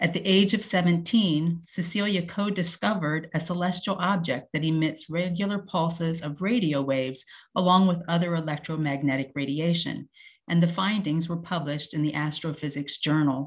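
Against a quiet background, a woman's voice comes through somewhat breathy. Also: fairly low pitch for a woman, ordinary pitch variation, moderate pace. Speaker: host introducing speakers. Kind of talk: formal speaker introduction. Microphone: video call.

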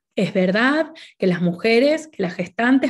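Speaking fairly slowly in an Argentine accent, a woman sounds somewhat breathy, with lively intonation over a quiet background. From Argentina. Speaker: naturopath and doula; presenter. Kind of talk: conference talk. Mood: warm, friendly. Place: home room. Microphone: webcam.

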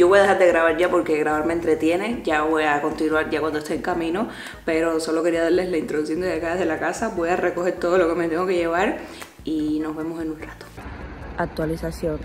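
A fairly low-pitched female voice at a fairly quick pace, with fairly even intonation and light background noise. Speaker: travel vlogger. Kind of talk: casual vlog. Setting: at home, then bus stop outdoors.

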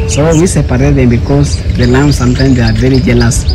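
Loud background noise fills the clip. Over it, a man speaks at a fairly quick speed. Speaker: sanctuary guide. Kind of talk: guided tour explanation. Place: open country. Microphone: phone near.

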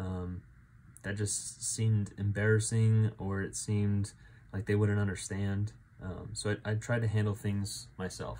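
Somewhat breathy and fairly low, a man with an American accent has a dark, mellow tone. He keeps a moderate pace with ordinary pitch variation over light background noise. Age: 20s. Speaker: church men's group leader; faith vlogger. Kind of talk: personal testimony. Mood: earnest, reflective. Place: home room. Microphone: phone near.

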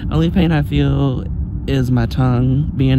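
Loud background noise sits behind a man speaking at a very slow pace. The sound is dry with no echo, and his pitch variation is ordinary. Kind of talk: casual vlog chat. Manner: sleepy, numb-tongued slurred talk. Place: car. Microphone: phone near.

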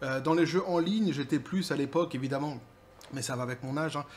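A man heard over light background noise. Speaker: gaming commentary youtuber. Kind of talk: solo commentary video. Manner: hesitant with many fillers. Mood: sarcastic, casual. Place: home room.

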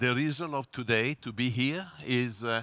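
Bright and sharp in tone, a man speaks at a fairly slow pace with ordinary pitch variation. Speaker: presenter. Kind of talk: press conference presentation. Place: hall. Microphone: headset.

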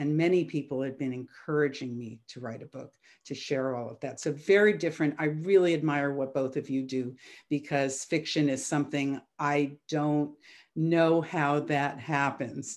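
Over a quiet background, a woman with a very deep, low voice speaks at a moderate pace, her loudness swinging widely. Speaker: violinist and music producer; panelist. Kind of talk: panel discussion. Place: home room. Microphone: video call.

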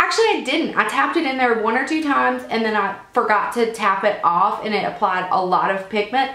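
Over noticeable background noise, a woman with an American accent speaks at a moderate pace with a fairly high pitch. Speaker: beauty vlogger. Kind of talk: casual talk to camera.

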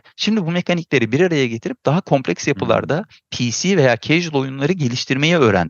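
Vocal fry runs through a man's fairly high voice. He talks at a fairly quick pace with lively intonation. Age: 40s. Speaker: game designer and producer. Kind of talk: casual chat.

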